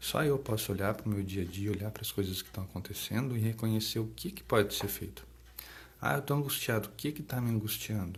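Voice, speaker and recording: A soft-spoken, somewhat breathy man with a fairly low pitch, at a fairly quick pace with ordinary pitch variation. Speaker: psychologist. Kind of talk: live stream talk. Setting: live stream. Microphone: too quiet, moved closer to mic.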